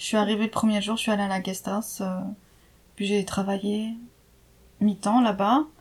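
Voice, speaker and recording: The woman's voice sits at medium pitch and sounds somewhat breathy. She keeps a moderate pace with monotone, flat intonation. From France, Jura. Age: 30s. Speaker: expatriate interviewee. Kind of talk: casual interview. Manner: hesitant, many fillers.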